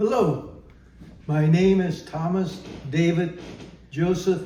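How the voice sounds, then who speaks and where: Audible room echo surrounds a man with an American accent who speaks at a high pitch with fairly even intonation. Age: 90s. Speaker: elderly man telling family history. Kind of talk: oral history interview. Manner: halting, many fillers.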